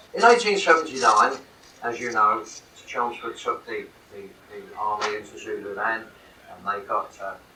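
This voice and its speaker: A man's loudness swings widely from moment to moment. Audible room echo and noticeable background noise fill the recording. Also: moderate pace. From London, England. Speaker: military history author and speaker. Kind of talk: lecture. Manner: halting.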